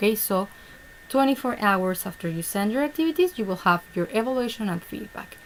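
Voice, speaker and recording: Over noticeable background noise, a woman with a Spanish accent talks with ordinary pitch variation. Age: 30s. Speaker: online English teacher. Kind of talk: online class session. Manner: halting.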